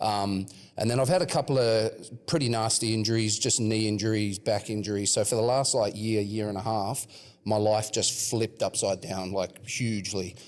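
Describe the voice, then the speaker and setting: Speaking in an Australian accent, a man keeps a moderate pace, a fairly low pitch and fairly even intonation. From Western Australia (Perth). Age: 30s. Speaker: rapper. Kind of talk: casual chat.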